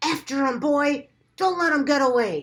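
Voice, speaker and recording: A woman uses a put-on character voice. It sits high in pitch. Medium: read story.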